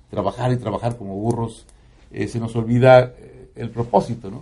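A man speaks at a moderate pace and medium pitch, his dark, mellow tone somewhat breathy. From Mexico, Puebla highlands. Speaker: radio announcer. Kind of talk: casual chat.

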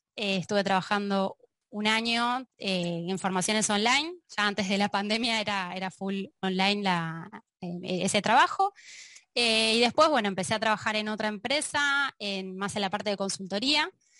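Against a quiet background, a woman speaks at a moderate pace and medium pitch with a bright, sharp tone and ordinary pitch variation. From Argentina. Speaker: data analyst and trainer. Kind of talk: casual chat.

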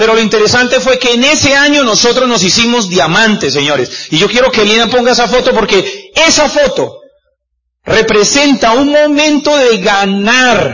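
A man speaks at an extremely high pitch with lively intonation. Audible echo from the room surrounds his voice. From Colombia, Cúcuta (Norte de Santander). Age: 40s. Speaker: business speaker, former doctor. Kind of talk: motivational talk. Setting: stage with audience.

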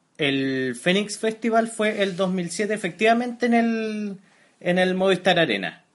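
In a Chilean accent, a man with a high pitch keeps very even loudness and ordinary pitch variation at a fairly slow pace. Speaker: podcast co-host. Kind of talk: casual chat.

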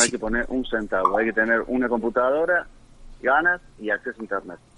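At a moderate pace, this man talks at a medium pitch. He has an ordinary speaking voice with ordinary pitch variation. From Argentina, Córdoba province (Río Cuarto). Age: 50s. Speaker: tech company founder. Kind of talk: interview.

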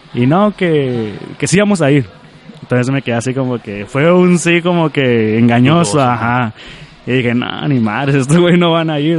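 With ordinary pitch variation, a man's fairly high voice comes through noticeable background noise. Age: 20s. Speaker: Facebook page creator and charity organizer. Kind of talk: casual interview.

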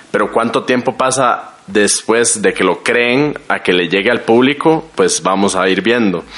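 At a fairly slow pace and with hardly any pauses, a man talks at medium pitch with ordinary pitch variation and very even loudness, over noticeable background noise. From Costa Rica. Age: 20s. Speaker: guest. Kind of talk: casual chat.

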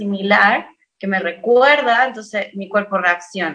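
A woman with a Chilean accent, fairly slow in pace, her tone bright and sharp. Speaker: singer-songwriter. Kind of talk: casual chat.

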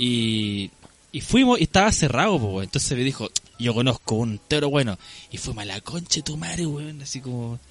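A man's ordinary speaking voice at medium pitch, with lively intonation and a moderate pace. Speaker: podcast co-host. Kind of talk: casual chat.

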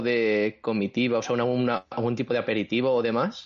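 In a normal speaking voice, a man of medium pitch talks at a fairly quick pace. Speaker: podcast co-host and writer. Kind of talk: casual chat.

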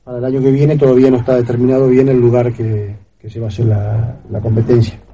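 A man talks in a monotone, flat intonation. Audible room echo surrounds his voice. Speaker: amateur trail runner. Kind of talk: interview. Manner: halting.

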